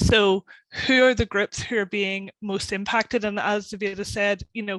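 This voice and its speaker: This woman's intonation stays monotone and flat. Her pace is moderate. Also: medium pitch for a woman, dry, close sound with no echo. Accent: Northern Irish. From Northern Ireland. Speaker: policy campaigner. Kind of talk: webinar panel discussion.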